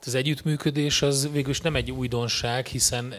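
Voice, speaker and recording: The man's intonation is fairly even as he talks at a moderate speed. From Hungary. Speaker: conference moderator. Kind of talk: conference interview. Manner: halting, with many repetitions. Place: stage. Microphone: handheld.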